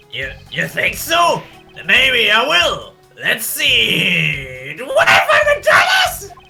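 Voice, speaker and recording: Over faint background music, a man shouts very slowly in a put-on character voice. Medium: game stream. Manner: excitable, addresses superior as sir.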